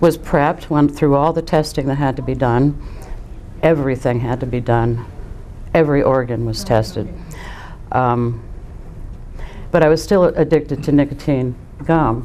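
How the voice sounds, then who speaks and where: A woman with a very deep, low voice speaks with long, frequent pauses over noticeable background noise. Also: ordinary pitch variation, moderate pace. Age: 60s. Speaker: COPD patient, lung transplant recipient. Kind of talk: testimony. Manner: halting, with many fillers.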